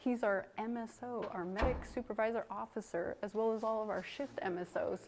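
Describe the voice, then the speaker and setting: A soft-spoken woman talks at a moderate pace with a fairly high pitch. Her intonation stays fairly even. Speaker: firefighter giving a station tour. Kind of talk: guided walking tour. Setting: indoors at a fire station.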